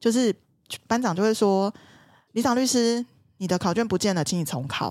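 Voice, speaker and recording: The recording is very clean, with a silent background. A woman talks at a fairly quick pace. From southern Taiwan. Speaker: lawyer. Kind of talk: casual chat.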